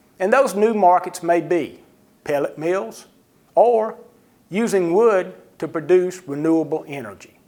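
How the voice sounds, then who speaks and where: A man speaks at a fairly slow pace in a high pitch, with a dark, mellow tone. His pitch varies in an ordinary way, and he takes long, frequent pauses. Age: 60s. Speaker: trade association president. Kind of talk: presentation.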